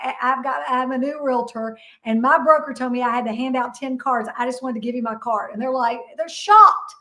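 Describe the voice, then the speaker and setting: A woman speaks at a fairly quick pace in a raised, projected voice with a high pitch. Her tone is bright, sharp and animated. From Kentucky. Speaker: real estate broker and investor. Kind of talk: interview.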